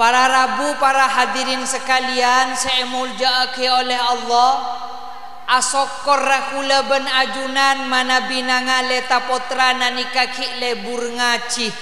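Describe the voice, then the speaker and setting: In a room with audible echo and noticeable background noise, a man with a Madurese accent speaks very slowly in a raised, projected voice at an extremely high pitch, his intonation monotone and flat. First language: Madurese (speaking Indonesian). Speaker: Islamic preacher. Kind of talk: sermon. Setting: mosque event with audience.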